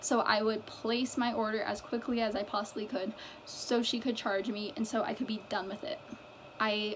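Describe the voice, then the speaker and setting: A woman's fairly high voice moves at a fairly slow pace with fairly even intonation, while noticeable background noise runs underneath. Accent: American. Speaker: mental health vlogger. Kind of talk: personal vlog monologue. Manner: stuttering; halting.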